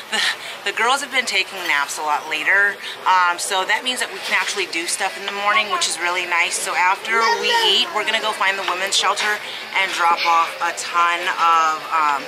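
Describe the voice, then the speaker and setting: A woman talks at a moderate pace with music playing in the background. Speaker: parent vlogger. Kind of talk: casual vlog chat. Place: cafe. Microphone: phone near.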